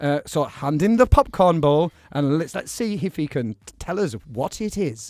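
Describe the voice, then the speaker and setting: Lively intonation and big swings in loudness mark a man's normal speaking voice, pitched fairly high at a moderate pace. The sound is dry and close with no echo. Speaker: radio host. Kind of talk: radio dj patter. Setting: radio studio. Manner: bantering, chatty.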